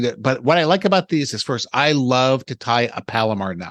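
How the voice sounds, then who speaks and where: An unremarkable speaking voice from a man at a fairly quick pace, with ordinary pitch variation and a dry, close sound with no echo. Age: 60s. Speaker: fishing podcast co-host. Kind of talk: casual podcast chat about fishing tackle.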